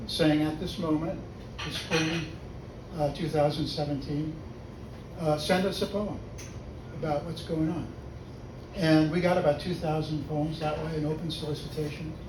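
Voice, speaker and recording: Amid noticeable background noise and audible room echo, a man with an American accent and a fairly high pitch speaks at a moderate pace in a monotone, flat intonation with long, frequent pauses. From US West Coast (Los Angeles). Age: 80s+. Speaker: poet. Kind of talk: poetry reading.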